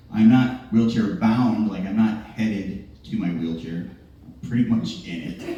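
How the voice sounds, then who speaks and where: A man with a fairly low voice talks at a fairly slow pace, his loudness swinging a lot while his pitch varies ordinarily, with audible room echo. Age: 40s. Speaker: stand-up comedian and emcee. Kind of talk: stand-up. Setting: stage with audience.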